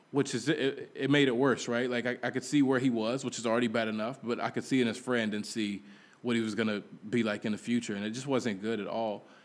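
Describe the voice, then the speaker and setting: Fairly quick and fairly even in intonation, a man talks at a medium pitch. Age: 30s. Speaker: pastor and missionary. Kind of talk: casual update podcast. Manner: halting, many fillers.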